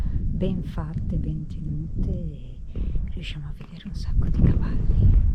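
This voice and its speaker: A woman whispers at a fairly slow pace amid noticeable background noise and audible room echo. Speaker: travel vlogger. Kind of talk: travel vlog commentary. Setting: outdoors. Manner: speaking quietly.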